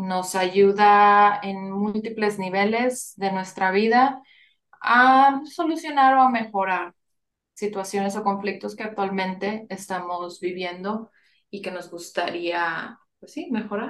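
At a very slow pace, a woman speaks at a medium pitch with ordinary pitch variation and big swings in loudness. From Monterrey, northern Mexico. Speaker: family constellations facilitator. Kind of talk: interview.

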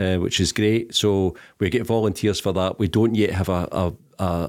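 A man with a Glaswegian accent, very deep and low in pitch, fairly even in intonation, in a very clean recording with a silent background. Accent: Glaswegian Scottish. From Scotland, East End of Glasgow. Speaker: charity chief executive. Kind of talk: interview. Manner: hesitant, many ums.

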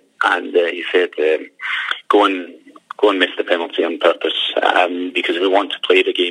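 Here a man with a Scottish accent speaks at a moderate pace. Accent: Scottish accent despite being Danish. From Denmark. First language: Danish. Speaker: retired footballer, football manager. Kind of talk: phone interview. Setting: phone call. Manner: halting, many fillers and repetitions.

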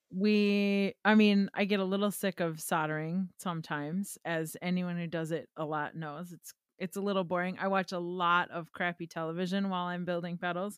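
Here a woman with a Wisconsin accent speaks at a fairly low pitch. Her intonation is monotone and flat, with hardly any pauses. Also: moderate pace. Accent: Upper Midwest (Wisconsin). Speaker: guitar pedal company co-owner. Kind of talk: casual chat.

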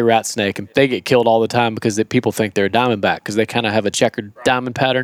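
A man with a Southern US accent, medium in pitch with fairly even intonation, in a dry, close sound with no echo. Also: very clean recording, silent background. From Florida. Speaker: wildlife trapper and YouTuber. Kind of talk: casual chat. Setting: living room of a camp house.

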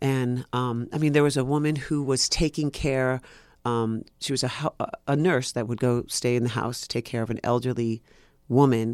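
Recorded very cleanly with a silent background and a dry, close sound with no echo, a man with a New York accent talks at a moderate pace with fairly even intonation. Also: medium pitch for a man. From New York City. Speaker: actor. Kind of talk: casual chat.

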